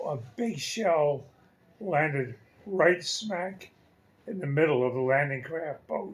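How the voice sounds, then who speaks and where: A man speaks at a very slow pace with long, frequent pauses and lively intonation. His pitch is fairly high, and there is noticeable background noise. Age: 80s+. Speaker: retiree telling family war story. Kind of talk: family storytelling interview answer.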